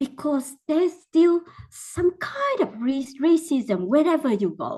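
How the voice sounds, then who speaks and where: A woman in a Vietnamese accent at a very slow pace, with very wide pitch swings. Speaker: teacher. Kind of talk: mentoring talk.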